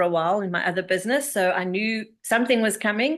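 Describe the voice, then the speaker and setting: Against a quiet background, a woman speaks very fast in a bright, sharp tone at a fairly high pitch. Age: 60s. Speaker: empowerment coach and network marketer. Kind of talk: online presentation. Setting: video call.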